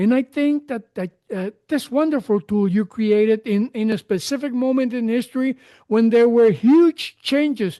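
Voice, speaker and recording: At a moderate pace, a man with a Spanish accent talks in an extremely high voice with a dark, mellow tone and ordinary pitch variation, the sound dry and close with no echo against a quiet background. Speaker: podcast host. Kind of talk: interview conversation. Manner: halting.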